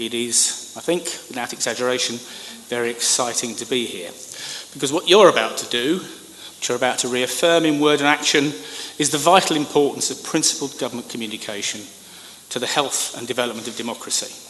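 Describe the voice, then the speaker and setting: With a British accent, a man talks at a fairly quick pace in a medium pitch with ordinary pitch variation. Audible room echo and noticeable background noise are present. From United Kingdom. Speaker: government communications expert. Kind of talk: conference speech.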